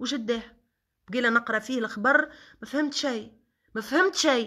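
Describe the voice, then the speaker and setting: In a Tunisian accent, a woman talks at a moderate pace with a high, bright, sharp voice and ordinary pitch variation against a quiet background. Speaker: social media personality; social media commentator. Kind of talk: live stream monologue. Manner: animated. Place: home room. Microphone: phone near.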